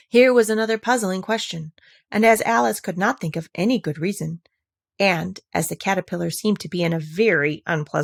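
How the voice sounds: The background stays quiet. A natural reading voice is heard over it.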